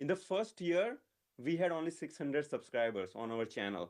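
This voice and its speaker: A man speaks at a moderate pace with a Gujarati accent. His fairly high voice has very wide pitch swings. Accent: Indian English, Gujarati. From India, Gujarat (village). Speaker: educational YouTuber, data teacher. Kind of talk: talk at live meetup. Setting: live event with audience.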